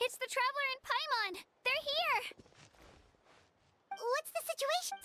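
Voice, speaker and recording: A put-on character voice, squeaky and extremely high in pitch, moves at a moderate pace. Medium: video game. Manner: eager, slightly nervous.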